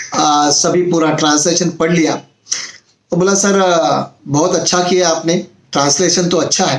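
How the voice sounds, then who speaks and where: A man talks at a high pitch with ordinary variation in his pitch. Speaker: motivational YouTuber. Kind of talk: motivational talk. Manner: hesitant fillers, conversational.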